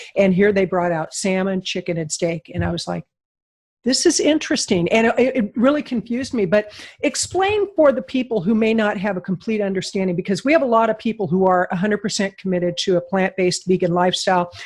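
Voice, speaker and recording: A woman's medium-pitched, somewhat breathy voice at a very fast pace, on a very clean recording with a silent background. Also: ordinary pitch variation. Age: 60s. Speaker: podcast host. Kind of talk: interview.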